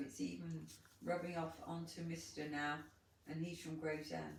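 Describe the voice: Strong room echo surrounds a woman speaking at a moderate pace in a low pitch with lively intonation.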